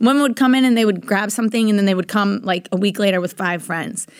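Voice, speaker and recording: On a very clean recording with a silent background, a woman speaks at medium pitch in a plain, everyday voice with ordinary pitch variation. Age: 20s. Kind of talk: interview. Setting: in Austin.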